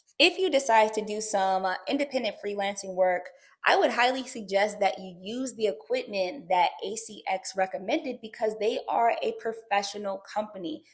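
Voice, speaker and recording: Upbeat in tone, a woman with a strong New Jersey accent talks at a moderate pace with hardly any pauses, her fairly high pitch showing ordinary variation. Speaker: YouTuber on side hustles. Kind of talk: online tutorial. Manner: casual, upbeat.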